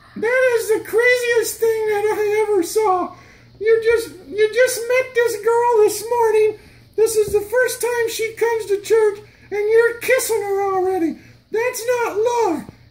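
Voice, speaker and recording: Here is a cartoonish character voice at an extremely high pitch. The pace is fairly slow. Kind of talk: children's church skit. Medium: puppet show. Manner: incredulous, teasing.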